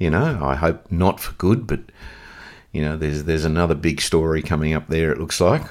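A man talks fairly quickly in a very deep, low voice marked by vocal fry. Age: 60s. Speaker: veteran surfer. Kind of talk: casual chat.

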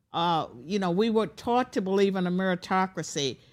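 A woman speaks in a normal speaking voice at a moderate pace, with ordinary pitch variation. The recording is very clean, with a silent background. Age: 60s. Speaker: former professor. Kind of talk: interview. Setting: studio.

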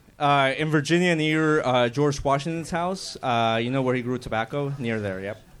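A man with a plain, everyday voice talks at a moderate pace with hardly any pauses, his fairly high pitch showing ordinary pitch variation. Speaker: amateur comedian. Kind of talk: stand-up. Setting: stage with audience.

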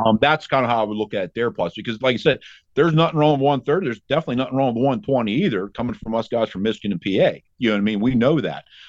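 Very fast and with hardly any pauses, a man speaks at a medium pitch with lively intonation. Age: 40s. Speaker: deer hunter. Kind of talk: casual chat.

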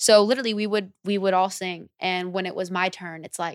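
A woman with an American accent speaks at a medium pitch with fairly even intonation. The sound is dry and close, with no echo. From Lodi, Northern California. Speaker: singer. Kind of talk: casual chat.

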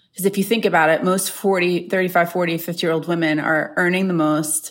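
In a plain, everyday voice, a woman speaks with an American accent. Her pitch is fairly low and her intonation fairly even. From New York, Long Island. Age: 40s. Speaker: beauty company executive. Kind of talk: interview.

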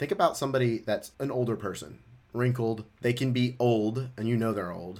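Here is a man with an unremarkable speaking voice at a medium pitch. He goes at a moderate pace with ordinary pitch variation. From Memphis, Tennessee (US South). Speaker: life and relationship coach. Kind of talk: casual interview.

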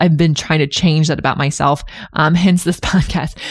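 On a very clean recording with a silent background, a woman with a Californian accent speaks in a very deep, low pitch with fairly even intonation. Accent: Californian American English. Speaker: podcast host and Pilates instructor. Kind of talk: interview.

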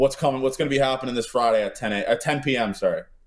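A man at medium pitch with a Canadian accent, talking at a very fast pace. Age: 20s. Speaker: sports podcast host. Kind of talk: casual chat.

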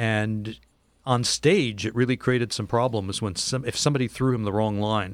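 A man speaks at a moderate pace and medium pitch, in an unremarkable speaking voice with fairly even intonation. The recording is very clean, with a silent background. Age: 60s. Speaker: cultural historian and author. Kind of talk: casual chat.

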